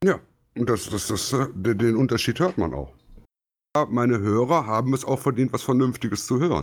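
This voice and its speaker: In a very clean recording with a silent background, a man talks at a moderate pace with lively intonation and vocal fry. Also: medium pitch for a man. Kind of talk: casual chat.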